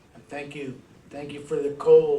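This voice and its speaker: A man talks at a fairly high pitch. Audible room echo and noticeable background noise surround his voice. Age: old. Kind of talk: prayer.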